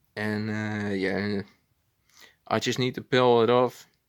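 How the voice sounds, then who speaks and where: A very slow-paced man with a Dutch accent, on a very clean recording with a silent background. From Netherlands. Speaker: hobbyist video maker. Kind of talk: casual tutorial. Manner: halting, many fillers.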